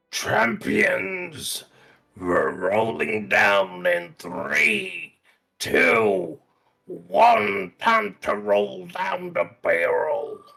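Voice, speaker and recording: Using a put-on character voice, a man speaks very slowly in a fairly low, menacing tone. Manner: scary, menacing put-on voice.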